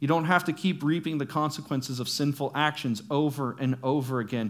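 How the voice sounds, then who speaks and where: A man speaks at a fairly quick pace with ordinary pitch variation in an unremarkable speaking voice. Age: 30s. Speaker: youth pastor. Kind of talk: sermon.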